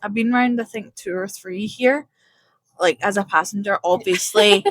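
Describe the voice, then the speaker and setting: A woman with a Scottish central belt accent speaks at a fairly high pitch, the sound dry and close with no echo. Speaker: vlogger. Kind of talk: casual chat. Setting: in a car. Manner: animated.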